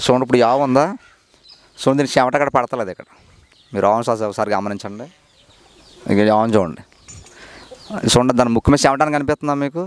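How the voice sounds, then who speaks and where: An unremarkable speaking voice with ordinary pitch variation comes through as a dry sound with no echo. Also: man, medium pitch for a man. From East Godavari district, Andhra Pradesh, India; Andhra Pradesh, India. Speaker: dairy farmer. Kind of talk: casual interview. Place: farm machine. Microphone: handheld.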